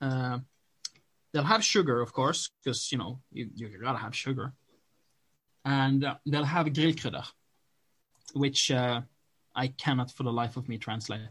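With a Norwegian accent, a man talks at a fairly slow pace and a medium pitch, his pitch varying in an ordinary way. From Norway. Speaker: podcast co-host. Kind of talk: casual chat.

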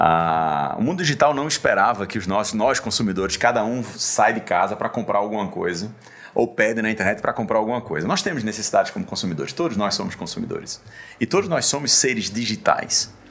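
A man's fairly low voice at a fairly quick pace, with lively intonation and noticeable background noise. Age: 40s. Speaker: tech entrepreneur and investor. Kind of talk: interview.

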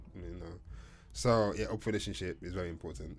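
Vocal fry runs through a man's fairly low-pitched voice. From Kent, England. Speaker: podcast co-host. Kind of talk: casual chat.

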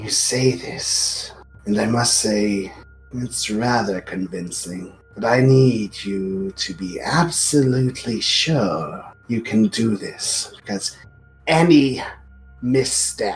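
A man uses a put-on character voice at a medium pitch, talking at a very slow pace. Faint music plays in the background. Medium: actual play. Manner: measured, wry.

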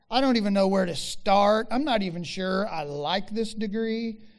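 A man talks at a moderate pace with a high pitch and ordinary pitch variation. There is audible room echo. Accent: American. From rural Oklahoma. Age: 40s. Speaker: ranch ministry worker and speaker. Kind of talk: chapel talk. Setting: university chapel with audience. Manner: hesitant, many fillers.

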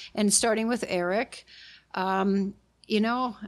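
In a very clean recording with a silent background, a woman with an American accent and a plain, everyday voice speaks at a fairly slow pace, medium pitch and fairly even intonation. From Detroit. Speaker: photographer and artist. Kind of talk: casual chat. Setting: studio.

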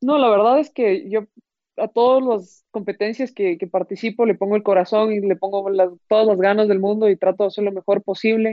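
This woman has a normal speaking voice. She talks at a fairly quick pace. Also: medium pitch for a woman, fairly even intonation. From Ecuador, Quito. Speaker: professional golfer. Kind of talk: interview.

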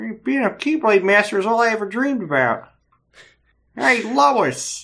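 A put-on character voice at a fairly high pitch and a moderate pace. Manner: goofy, exaggerated.

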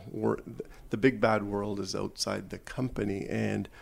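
In a Canadian accent, a man speaks at a moderate pace. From Toronto, Canada. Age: 50s. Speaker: corporate executive. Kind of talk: interview.

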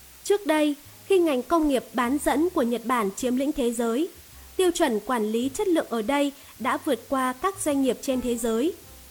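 Through noticeable background noise, a woman speaks at a moderate pace in a high pitch, her intonation lively and her loudness very even. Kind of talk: audiobook reading of a business book. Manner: steady, even, formal narration.

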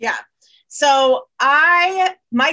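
A woman's bright, sharp tone moves through very wide pitch swings in a dry, close sound with no echo. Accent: American. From Florida. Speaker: marketing executive. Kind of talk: casual interview.

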